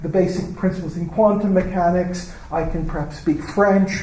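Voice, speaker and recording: A man's high-pitched, monotone, flat voice at a moderate pace, with audible room echo and noticeable background noise. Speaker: professor. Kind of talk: lecture. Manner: halting.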